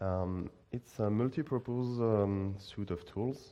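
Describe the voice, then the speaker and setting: The speaker has a French accent. The intonation stays fairly even. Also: man. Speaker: student and conference speaker. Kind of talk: conference talk.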